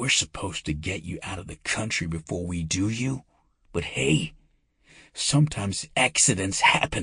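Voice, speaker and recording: A man whispers in a put-on character voice with hissing and a menacing tone. He speaks at a moderate pace. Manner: harsh, hissing whisper, menacing.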